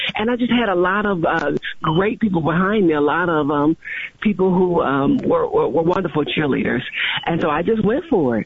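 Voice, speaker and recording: Over noticeable background noise, a woman with a fairly low pitch speaks at a moderate pace and very even loudness. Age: 40s. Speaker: county commissioner elect. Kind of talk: radio interview. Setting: phone call.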